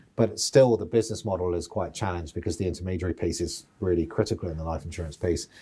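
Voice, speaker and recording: With a British accent, a man talks at a very fast pace with hardly any pauses, his very deep, low pitch showing ordinary variation and a dark, mellow, somewhat breathy tone. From United Kingdom. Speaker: outgoing financial regulator chief executive. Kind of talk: interview. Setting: boardroom.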